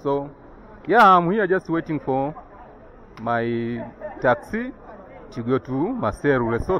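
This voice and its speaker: A man is heard with a dry sound, no echo, and light background noise. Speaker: travel vlogger. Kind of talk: casual vlog chat. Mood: cautious, explanatory. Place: street. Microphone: phone near.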